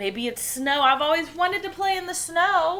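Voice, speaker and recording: This put-on character voice sits at an extremely high pitch and moves at a moderate pace. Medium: read story. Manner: wide-eyed, innocent.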